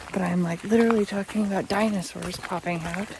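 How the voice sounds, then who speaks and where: Noticeable background noise sits under this woman's medium-pitched voice. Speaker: travel vlogger. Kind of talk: travel vlog narration. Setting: outdoors. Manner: animated.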